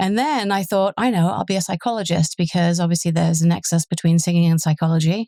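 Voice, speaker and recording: A woman with an English accent talks at a very fast pace, with a fairly low pitch, ordinary pitch variation and a dark, mellow tone. The recording is very clean with a silent background, the sound dry and close with no echo. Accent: English accent, noticeable. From southern England. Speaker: police superintendent. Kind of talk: interview.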